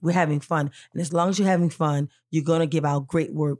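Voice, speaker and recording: A fairly quick pace in a very clean recording with a silent background and a dry, close sound with no echo. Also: woman. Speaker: film director and author. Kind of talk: casual interview chat. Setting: studio. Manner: energetic.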